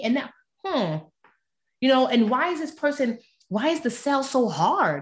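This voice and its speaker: In an American accent, a woman with a high pitch talks with lively intonation. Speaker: author and personal finance expert. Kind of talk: casual interview chat.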